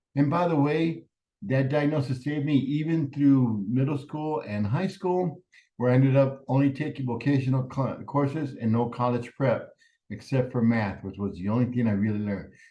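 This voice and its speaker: Somewhat breathy and dark and mellow in tone, a man with a Spanish accent speaks at a moderate pace and medium pitch with ordinary pitch variation. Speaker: professor. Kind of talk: lecture.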